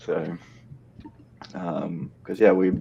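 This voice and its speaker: A man with an Australian accent. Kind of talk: casual chat. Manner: halting, many fillers.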